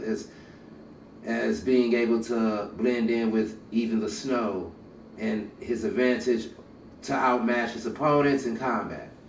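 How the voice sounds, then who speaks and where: Fairly slow speech with fairly even intonation carries audible room echo. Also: man. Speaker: gaming streamer. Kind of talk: reading aloud with commentary. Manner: halting, stumbling over words.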